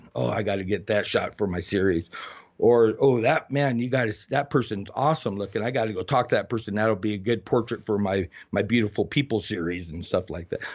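A man with an American accent talks at a fairly quick pace in a normal speaking voice, his fairly low pitch showing ordinary variation. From Arizona, US Southwest. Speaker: heavy equipment operator and street photographer. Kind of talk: interview.

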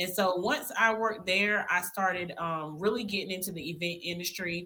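With an American accent, a woman speaks fairly quickly at a fairly low pitch. Her tone is bright and sharp, her intonation fairly even. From South Carolina (Spartanburg). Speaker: wedding and event planner. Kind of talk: casual interview.

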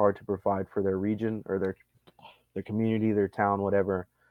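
In a flat monotone, a man with an American accent talks at a fairly quick pace with a fairly low pitch. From Montana. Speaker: army veteran and solar consultant. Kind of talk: casual interview.

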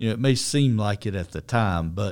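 This man has an ordinary speaking voice, pitched fairly low, with ordinary pitch variation. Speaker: mason company owner. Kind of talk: casual interview.

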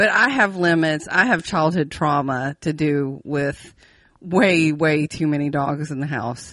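A woman with an Appalachian accent speaks at a fairly slow pace in a very deep, low voice, her pitch varying in an ordinary way. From West Virginia. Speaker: podcast co-host. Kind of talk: casual chat.

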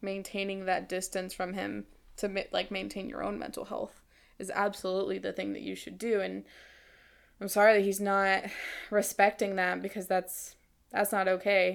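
This woman talks at a moderate pace. The recording is very clean, with a silent background. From Cuban-American community, US. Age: 20s. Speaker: podcast guest, host's roommate. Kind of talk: casual chat.

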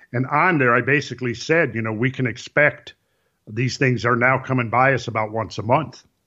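In a quiet background, a man speaks at medium pitch. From rural Minnesota. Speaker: researcher and architectural designer. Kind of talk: interview conversation. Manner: halting with frequent repetitions.

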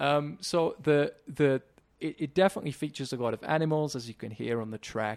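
In a very clean recording with a silent background and a dry, close sound with no echo, a man talks in a normal speaking voice at a fairly high pitch and a fairly quick pace, with ordinary pitch variation. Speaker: podcast co-founder. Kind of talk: casual interview chat. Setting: call.

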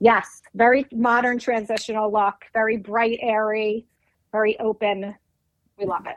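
An unremarkable speaking voice from a woman, fairly high-pitched and fairly slow, in a dry, close sound with no echo. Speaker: homeowner. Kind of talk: interview.

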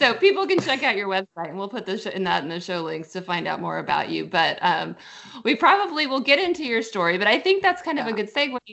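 A woman talks very fast at a fairly high pitch, her voice swinging very widely up and down. Noticeable background noise sits behind her. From US Midwest, Kansas City. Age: 40s. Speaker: podcast host. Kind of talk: interview conversation.

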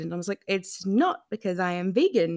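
In an Australian accent, a woman talks at a moderate pace on a very clean recording with a silent background. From Australia, New South Wales south coast. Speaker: journalist and author. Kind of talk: interview.

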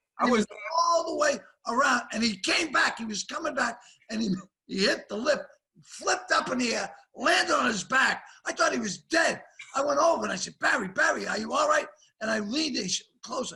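In a Boston accent, a man with an extremely high pitch and a bright, sharp tone talks in a raised, projected voice at a fairly quick pace, with lively intonation and long, frequent pauses. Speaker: comedian. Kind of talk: casual chat. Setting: video call.

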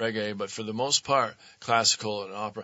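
Speaking in an unremarkable speaking voice, this person has an American accent. The pace is moderate. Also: man. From Vermont, raised there from age seven after early years in Philadelphia. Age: 60s. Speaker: actor and comedian. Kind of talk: casual chat. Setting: studio.

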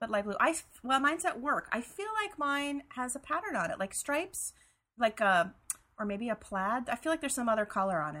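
A woman's high-pitched, bright and sharp voice, fairly quick in pace, with very wide pitch swings. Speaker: podcast co-host. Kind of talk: casual chat. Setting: remote recording. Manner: fast.

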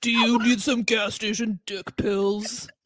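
Using a put-on character voice, the speaker goes at a fairly slow pace with a fairly high pitch. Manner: gloomy, dour.

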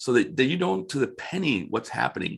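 Against a quiet background, a man with an American accent talks at a very fast pace with a medium pitch, vocal fry and very wide pitch swings. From Florida. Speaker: financial advisor and trainer. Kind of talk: casual interview. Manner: animated.

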